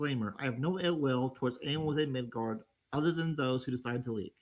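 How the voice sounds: Quiet background behind a natural reading voice, pitch varying in an ordinary way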